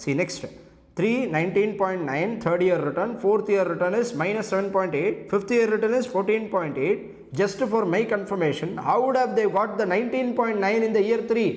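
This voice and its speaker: A man's high-pitched voice with ordinary pitch variation, audible room echo and noticeable background noise. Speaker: CA exam lecturer. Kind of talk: lecture. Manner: fast.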